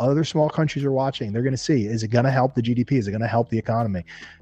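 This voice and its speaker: A man talks with a New Jersey accent. Music plays in the background. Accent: New Jersey American. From New Jersey, US. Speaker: entrepreneur and investor. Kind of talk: interview podcast.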